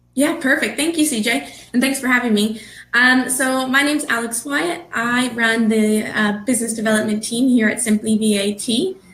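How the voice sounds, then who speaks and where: Her loudness very even, a woman with a high pitch speaks amid audible room echo. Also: ordinary pitch variation, moderate pace. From Canada. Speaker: business development manager at a tax services firm. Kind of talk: webinar presentation.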